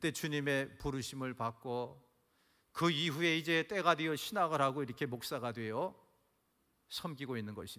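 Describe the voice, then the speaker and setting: A man's fairly high, bright and sharp voice at a moderate pace, with ordinary pitch variation, in a very clean recording with a silent background. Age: 60s. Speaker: pastor. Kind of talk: sermon. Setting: church. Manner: animated.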